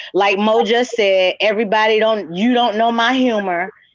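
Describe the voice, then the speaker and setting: The speaker is a woman. She keeps a moderate pace and fairly even intonation. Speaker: livestream host. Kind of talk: casual chat. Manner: loud.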